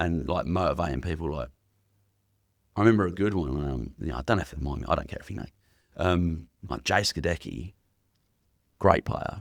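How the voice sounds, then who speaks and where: A man with an English accent speaks at a fairly quick pace but with long, frequent pauses, his very deep, low voice showing vocal fry. His pitch variation is ordinary, with big swings in loudness. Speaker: youth worker and former rugby league coach. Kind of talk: casual interview chat. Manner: loud, carrying.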